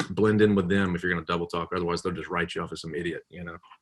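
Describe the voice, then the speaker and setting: Talking very fast with a Southern US accent, a man has a very deep, low pitch and a bright, sharp tone. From US South. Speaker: comedian and public pranker. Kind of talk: casual interview chat. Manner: animated.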